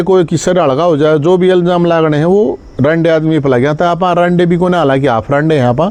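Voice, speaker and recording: A high-pitched man with a Haryanvi accent speaks at a moderate pace with ordinary pitch variation. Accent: Haryanvi-accented Hindi. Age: 40s. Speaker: social activist. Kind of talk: live stream address to followers.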